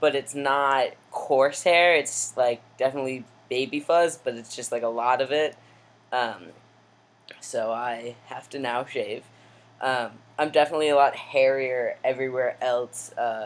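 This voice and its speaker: Speaking at a fairly slow pace with fairly even intonation, this is a normal speaking voice. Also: man, medium pitch for a man. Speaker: vlogger. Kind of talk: personal video diary. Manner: casual with many fillers.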